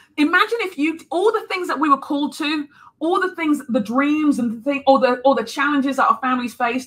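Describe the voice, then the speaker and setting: A woman's raised, projected voice in a London accent, high-pitched with a bright, sharp tone, a fairly quick pace, and very wide pitch swings. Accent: British (London). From London, England. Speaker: speaker, author; speaker. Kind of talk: sermon; interview answer. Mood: earnest, faith-filled encouragement. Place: home room.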